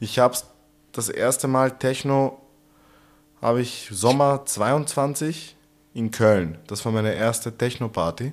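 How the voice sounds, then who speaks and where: The recording is very clean, with a silent background. A man speaks at a very slow pace in a medium pitch, with ordinary pitch variation and long, frequent pauses. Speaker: podcast co-host. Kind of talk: casual chat.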